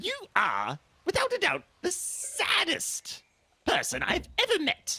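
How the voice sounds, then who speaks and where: An extremely high pitch marks this put-on character voice. The delivery comes at a fairly slow pace. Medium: actual play. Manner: blunt, no-nonsense.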